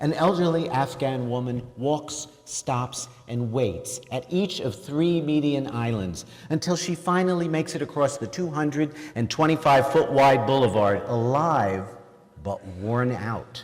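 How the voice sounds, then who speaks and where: A man at a fairly slow pace with lively intonation. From New York, Queens. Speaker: author. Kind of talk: reading aloud from own book.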